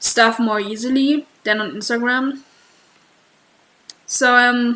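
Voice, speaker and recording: With a German accent, the speaker talks very slowly in a bright, sharp tone and with fairly even intonation. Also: woman, high pitch for a woman. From Germany. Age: 20s. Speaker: streamer and artist. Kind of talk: casual livestream chat. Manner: halting.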